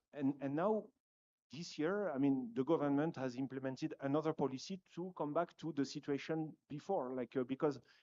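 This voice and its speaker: Over a quiet background, a man with a French accent speaks in a dark, mellow tone with ordinary pitch variation. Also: dry, close sound with no echo. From France. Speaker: conference panelist, dairy company representative. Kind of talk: panel discussion. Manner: hesitant, many fillers.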